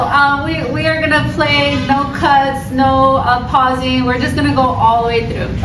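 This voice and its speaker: An animated tone at a moderate pace with hardly any pauses, over noticeable background noise. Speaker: video podcast host. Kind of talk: casual chat.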